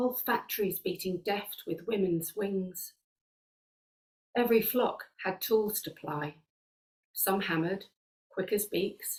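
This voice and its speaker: Somewhat breathy, a woman speaks with ordinary pitch variation and long, frequent pauses. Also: medium pitch for a woman, fairly slow pace. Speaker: poet. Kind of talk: poetry reading.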